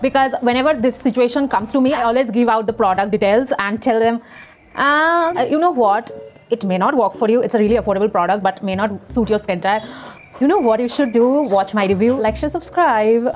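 A woman talks at a fairly quick pace with ordinary pitch variation and light background noise. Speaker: beauty vlogger. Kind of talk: casual vlog chat. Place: home room. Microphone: lapel.

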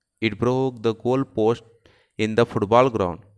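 Recorded very cleanly against a silent background, a man speaks at a fairly slow pace with a medium pitch. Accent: Indian. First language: Hindi. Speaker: teacher. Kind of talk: lecture; dramatic narration. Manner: animated.

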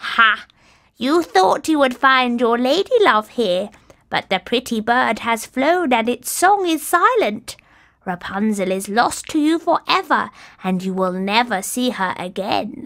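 The pace is kept fairly slow. It is delivered in a put-on character voice. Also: female-sounding voice, high pitch for a woman. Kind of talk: storybook character voice. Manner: angry, menacing.

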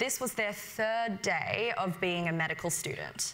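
In an Australian accent, this woman's bright, sharp tone moves at a moderate pace with ordinary pitch variation. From Western Sydney, Australia; New South Wales, Australia. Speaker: medical student leader. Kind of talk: prepared speech. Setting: stage with audience. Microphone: lapel.

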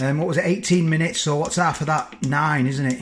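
There is light background noise behind a man talking. His pitch varies in an ordinary way. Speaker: vlogger. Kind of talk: casual vlog chat. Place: kitchen. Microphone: phone near.

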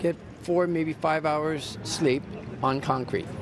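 A man talks very slowly. The recording carries noticeable background noise. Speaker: fire evacuee. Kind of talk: casual interview answers. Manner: halting, repeats words. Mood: weary, upset. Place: street. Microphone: handheld.

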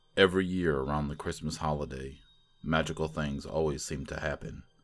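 Music plays in the background. A man with a very deep, low voice speaks at a moderate pace. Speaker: horror story narrator. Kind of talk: horror story narration.

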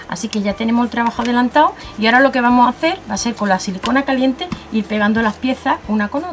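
Over faint music in the background, a woman speaks at a very fast pace. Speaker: craft tutorial host. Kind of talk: tutorial.

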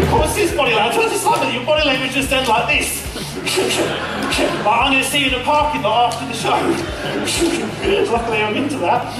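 A man talks at a moderate pace with hardly any pauses. Clear music plays in the background, and room echo is audible. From Australia. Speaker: comedy juggler. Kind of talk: live stage comedy show with audience banter. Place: stage.

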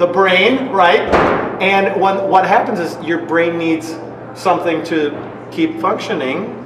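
Noticeable noise sits behind the voice. The pace is very slow. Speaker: professional wrestler. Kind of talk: comedic sketch, casual explanation. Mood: playful teasing. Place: hall. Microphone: camera far.

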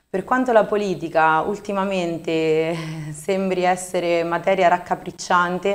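The speaker is a woman. Her intonation is fairly even. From central Italy, Marche (Civitanova Marche); Marche, Italy. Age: 20s. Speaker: local election candidate; election candidate. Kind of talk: TV interview. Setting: studio. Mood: calm, earnest. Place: studio.

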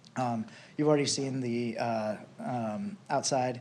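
The voice shows ordinary pitch variation, with audible room echo around it. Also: man. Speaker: business owner applicant. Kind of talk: council presentation. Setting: city council meeting. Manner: hesitant, many fillers.

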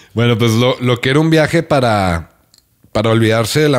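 Over a quiet background, a man speaks at a fairly quick pace with lively intonation. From Mexico. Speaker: podcast host. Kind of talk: casual chat. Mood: relaxed, casual. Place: home room. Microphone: studio mic.

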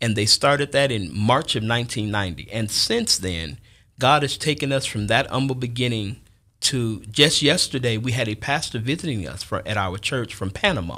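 A man with an American accent speaks at a moderate pace against a quiet background. His tone is bright and sharp, his intonation lively. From Chicago South Side; Chicago. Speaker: church elder; guest. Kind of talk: casual chat. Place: studio. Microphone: studio mic.

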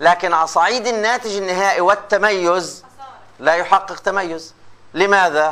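In a raised, projected voice, a high-pitched man speaks at a fairly slow pace. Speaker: lecturer in radio and TV journalism. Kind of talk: lecture. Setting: classroom with students. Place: classroom.

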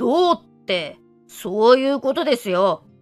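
Over background music, a female-sounding voice puts on a raspy character voice pitched high for a woman. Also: fairly slow pace. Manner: nonchalant, breezy.

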